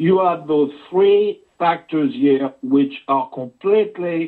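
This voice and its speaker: Speaking at a very slow pace, a man with a French accent uses lively intonation in a high pitch. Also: quiet background. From France. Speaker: journalist. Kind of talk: interview. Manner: halting. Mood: grave, urgent warning. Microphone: video call.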